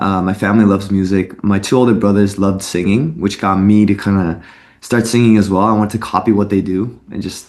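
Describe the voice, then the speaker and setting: An ordinary speaking voice from a man with a Canadian accent, fairly low in pitch, fairly quick, with fairly even intonation. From Canada, Vancouver. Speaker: singer-songwriter. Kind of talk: interview.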